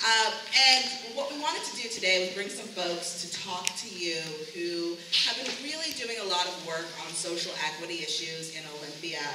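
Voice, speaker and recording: Audible room echo and noticeable background noise surround a woman as she talks. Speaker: panel moderator. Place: hall. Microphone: camera far.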